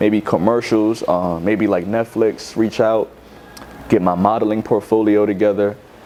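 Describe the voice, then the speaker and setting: With a New York accent, a man speaks in a flat monotone at a fairly low pitch and very even loudness, with noticeable background noise behind him. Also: moderate pace. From New York City, Bronx. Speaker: rapper. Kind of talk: interview. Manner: casual, filler-heavy.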